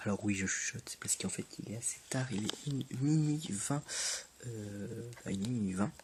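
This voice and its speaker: The voice is a whisper, fairly slow in pace. Noticeable noise sits in the background. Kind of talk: casual gaming commentary. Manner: whispered.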